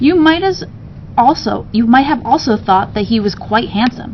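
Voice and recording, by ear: Faint background noise sits behind a woman who speaks at a moderate pace with lively intonation. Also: fairly high pitch for a woman.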